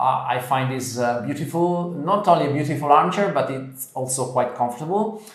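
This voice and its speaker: Against noticeable background noise and audible room echo, a man with an Italian accent speaks at a fairly high pitch and a moderate pace with ordinary pitch variation. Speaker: interior design presenter. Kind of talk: casual chat. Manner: halting.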